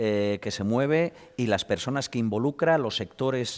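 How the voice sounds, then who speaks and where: Recorded very cleanly against a silent background, a man with an unremarkable speaking voice speaks at a medium pitch and a moderate pace with lively intonation. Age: 50s. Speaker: hunting advocate. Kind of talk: studio discussion. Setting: studio.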